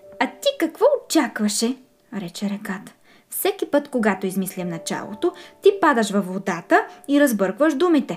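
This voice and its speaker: Speaking at a moderate pace, a woman uses an animated, playful tone with very wide pitch swings. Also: fairly high pitch for a woman. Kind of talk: children's storybook reading aloud. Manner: animated, playful, with distinct character voices; warm, gentle storyteller pacing.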